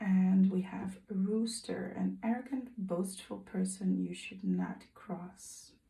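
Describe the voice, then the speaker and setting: A woman with a non-native accent talks at a very slow pace in a medium pitch with ordinary pitch variation, over noticeable background noise and audible room echo. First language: not English. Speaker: tarot reader. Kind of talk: tarot reading. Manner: hesitant, with fillers and self-corrections.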